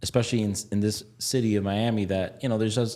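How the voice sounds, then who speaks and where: At a very fast pace, a man talks in a fairly low pitch with a dark, mellow tone and monotone, flat intonation. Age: 30s. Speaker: building contractor and podcast host. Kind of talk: interview conversation.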